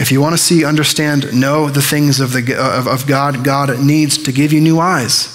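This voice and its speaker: Speaking at a moderate pace, a man uses a fairly high voice with monotone, flat intonation. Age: 20s. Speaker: pastor. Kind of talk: sermon. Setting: church. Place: church. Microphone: headset.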